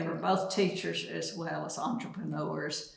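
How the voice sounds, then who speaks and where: Someone with an East Texas accent talks at a fairly slow pace over noticeable background noise, with audible room echo. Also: woman. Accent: East Texas Southern. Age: 90s. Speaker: retired postmaster. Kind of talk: casual interview. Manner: halting.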